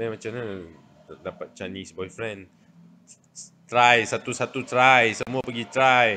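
A man's bright, sharp tone at a fairly slow pace. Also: fairly even intonation. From Malaysia. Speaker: social media livestreamer. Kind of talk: casual chat. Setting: livestream. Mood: playful, teasing. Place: home room. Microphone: phone near.

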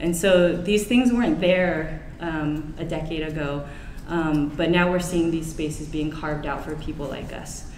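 With an American accent, a woman speaks at a fairly slow pace and a fairly low pitch. Light background noise and audible room echo are present. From US West Coast, San Francisco Bay Area; US West Coast. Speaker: government design director; keynote speaker. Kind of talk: conference keynote. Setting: stage with audience. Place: hall. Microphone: camera far.

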